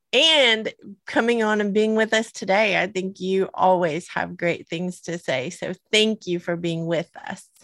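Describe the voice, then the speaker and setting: A woman's medium-pitched voice with a Southern US accent, lively intonation and a fairly slow pace, in a dry, close sound with no echo. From US South. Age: 50s. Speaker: podcast co-host. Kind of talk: casual chat. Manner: giggly.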